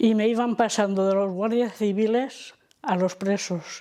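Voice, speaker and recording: A fairly slow pace on a very clean recording with a silent background. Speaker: elderly daughter of a repression victim. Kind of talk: testimony.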